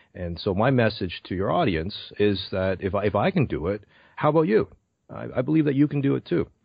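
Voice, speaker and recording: Speaking at a fairly quick pace with a Canadian accent, a man uses a fairly low pitch with very wide pitch swings. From Canada, Brampton near Toronto. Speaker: public speaking coach. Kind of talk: interview.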